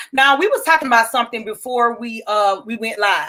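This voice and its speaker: A woman is shouting. Her tone is bright and sharp. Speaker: talk show host. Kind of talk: casual interview chat. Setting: live stream video.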